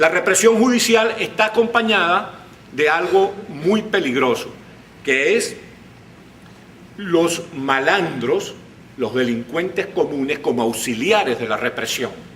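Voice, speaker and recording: Very slow speech broken by long, frequent pauses, with pitch that swings very widely. Background noise is noticeable throughout. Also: man, high pitch for a man. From Venezuela. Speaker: writer, journalist, broadcaster and politician. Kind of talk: conference talk.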